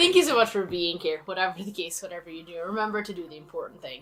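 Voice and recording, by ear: A woman's raspy, put-on character voice at medium pitch, very fast, with big swings in loudness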